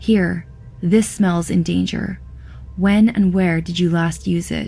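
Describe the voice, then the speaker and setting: Clear music plays in the background as a put-on character voice of middle pitch moves at a fairly slow pace. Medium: read story. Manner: blunt, matter-of-fact.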